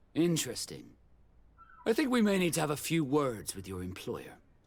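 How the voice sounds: In a put-on character voice, a man uses vocal fry and a fairly high pitch, moving at a moderate pace with very wide pitch swings.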